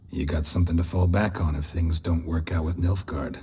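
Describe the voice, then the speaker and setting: A man puts on a raspy character voice at a very deep, low pitch, delivering it in a deadpan tone at a fairly quick pace. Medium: video game. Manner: terse, clipped, deadpan.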